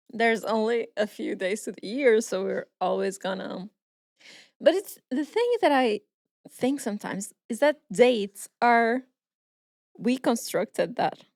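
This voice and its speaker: A woman with a Portuguese accent speaks at a fairly slow pace, her pitch fairly high. She leaves long, frequent pauses. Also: lively intonation, dry, close sound with no echo. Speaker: podcast co-host. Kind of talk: casual chat.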